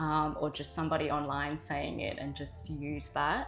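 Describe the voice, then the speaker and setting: A woman speaks with an Australian accent at a moderate pace. Music plays in the background. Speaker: journalist. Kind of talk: interview answer.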